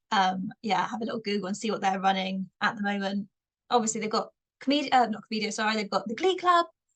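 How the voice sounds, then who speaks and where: With a slight Bristolian accent, a woman talks very fast at a fairly high pitch with ordinary pitch variation. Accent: slight Bristolian twang. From Bristol, England. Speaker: stand-up comedian. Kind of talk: podcast interview.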